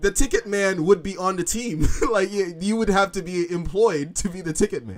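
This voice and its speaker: With music playing in the background, a man speaks at a high pitch. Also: ordinary pitch variation, moderate pace, big swings in loudness. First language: not English. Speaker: live streamer. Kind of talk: casual chat. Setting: live stream.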